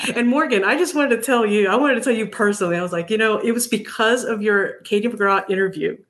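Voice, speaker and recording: Over noticeable background noise, a woman speaks very fast, her pitch varying in an ordinary way. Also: fairly high pitch for a woman, hardly any pauses. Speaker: viewer guest.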